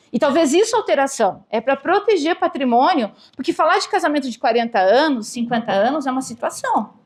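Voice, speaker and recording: A woman's high voice with very wide pitch swings, fairly quick and with hardly any pauses. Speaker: real estate lawyer giving a talk. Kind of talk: lecture.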